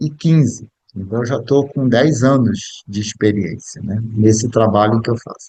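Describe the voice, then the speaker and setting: This speaker's tone is dark and mellow. The pitch varies in an ordinary way, and the speed is fairly slow. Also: man. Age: 60s. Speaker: biographical counselor and speaker. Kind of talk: lecture. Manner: halting.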